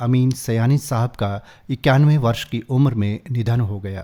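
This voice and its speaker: A man's dark, mellow, medium-pitched voice, with fairly even intonation, in a very clean recording with a silent background. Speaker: voice over artist; radio drama artist. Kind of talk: radio news read.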